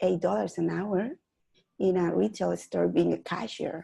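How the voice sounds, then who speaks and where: A woman talks with a Mexican accent. Her pace is moderate. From Mexico (Mexico City). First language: Spanish. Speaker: real estate investor. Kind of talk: interview.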